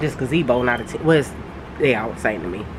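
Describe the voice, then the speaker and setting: Noticeable background noise sits under a woman whose pitch variation is ordinary. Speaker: gardening vlogger. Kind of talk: casual vlog talk. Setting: outdoors in backyard under gazebo. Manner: halting, many fillers.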